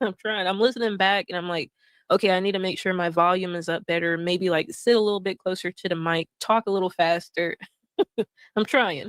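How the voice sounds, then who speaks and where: A woman with a Southern US accent speaks at a medium pitch with fairly even intonation, in a very clean recording with a silent background and a dry, close sound with no echo. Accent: Southern US drawl. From US South. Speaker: streamer. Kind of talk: casual live stream chat. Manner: soothing.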